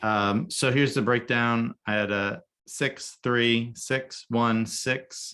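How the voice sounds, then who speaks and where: On a very clean recording with a silent background, a man speaks with fairly even intonation. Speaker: photographer and business coach. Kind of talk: coaching call presentation. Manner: monotone; halting, many fillers.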